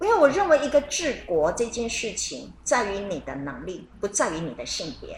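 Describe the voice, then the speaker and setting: Big swings in loudness and very wide pitch swings mark a woman's fairly high voice. She talks at a moderate pace with hardly any pauses over noticeable background noise. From Taiwan. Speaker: radio co-host. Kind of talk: radio talk show chat.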